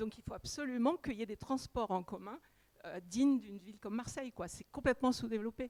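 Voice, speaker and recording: A woman speaks very fast at a fairly high pitch with lively intonation. The sound is dry and close with no echo. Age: 60s. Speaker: audience member. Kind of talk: public question.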